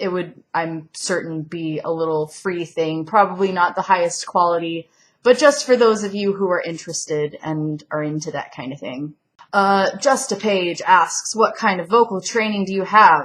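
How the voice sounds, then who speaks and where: A woman at a moderate pace, with big swings in loudness and ordinary pitch variation, in a very clean recording with a silent background. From US South, Georgia near Atlanta. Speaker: singer and YouTuber. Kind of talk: casual Q&A vlog. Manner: casual, hesitant with fillers.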